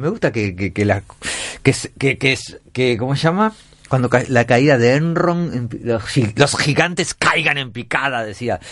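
At a fairly slow pace, a man speaks in a medium pitch. His intonation is lively. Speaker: radio host. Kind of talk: comedic monologue.

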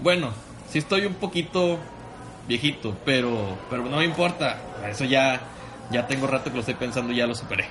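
A man talks at a fairly quick pace with medium pitch and lively intonation, leaving long, frequent pauses. Noticeable background noise runs underneath. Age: 20s. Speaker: podcast co-host. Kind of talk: casual chat.

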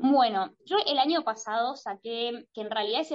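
Talking at a fairly slow pace, a woman uses fairly high pitch and ordinary pitch variation. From Argentina. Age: 20s. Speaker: singer-songwriter. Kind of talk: interview. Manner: halting, many repeated words and fillers.

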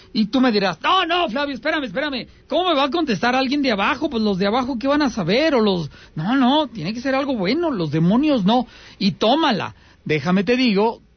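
A man with a Mexican accent, very wide pitch swings and a moderate pace. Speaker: radio host of paranormal call-in show. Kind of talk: call-in radio show.

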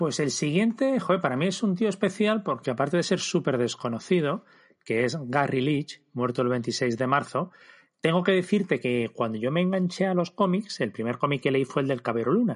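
A man with an ordinary speaking voice and fairly high pitch talks at a moderate pace with very even loudness against a quiet background. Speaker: comics podcast host. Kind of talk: casual chat.

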